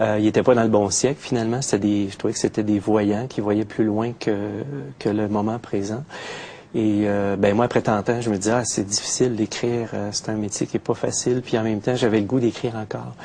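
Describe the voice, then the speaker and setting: Speaking with a Quebec accent at a fairly quick pace, a man with fairly low pitch keeps a monotone, flat intonation over noticeable background noise. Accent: Québécois French. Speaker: poet. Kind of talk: interview. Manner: hesitant, many fillers.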